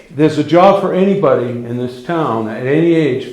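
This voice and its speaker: Fairly high-pitched man's voice with audible room echo and noticeable background noise. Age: 60s. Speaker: volunteer firefighter. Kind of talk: public meeting comment. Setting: town budget hearing. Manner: halting.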